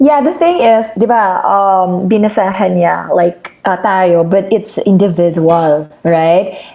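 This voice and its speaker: A woman with a mid-range voice and normal pitch movement is heard against noticeable background noise. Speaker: podcast co-host. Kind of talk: casual chat.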